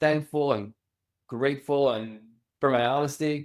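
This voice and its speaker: With fairly even intonation, a man speaks. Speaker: children's book author. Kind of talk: podcast interview. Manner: halting, with repetitions.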